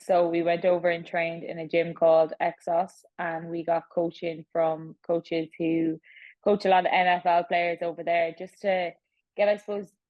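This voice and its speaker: A woman with an Irish accent speaks at a moderate pace and a fairly low pitch. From Ireland. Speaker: professional athlete. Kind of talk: interview.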